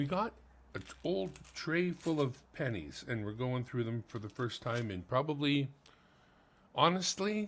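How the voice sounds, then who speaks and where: A man with a Manitoban accent at medium pitch, fairly slow with long, frequent pauses and very wide pitch swings. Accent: Canadian (Manitoba). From Canada, Winnipeg. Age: 50s. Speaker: coin collecting streamer. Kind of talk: live stream, casual commentary. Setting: home, living room.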